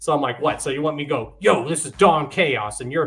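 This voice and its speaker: With a normal speaking voice, a man talks at a fairly quick pace and a fairly high pitch, using ordinary pitch variation. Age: 30s. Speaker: podcast host. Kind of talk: casual chat.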